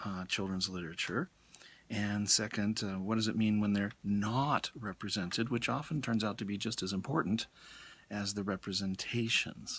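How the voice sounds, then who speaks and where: Soft-spoken and at a fairly slow pace, a man with an American accent speaks in a fairly low pitch with ordinary pitch variation, in a very clean recording with a silent background. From US, Colorado (Denver). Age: middle-aged. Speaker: college English professor. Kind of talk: lecture. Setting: bookstore.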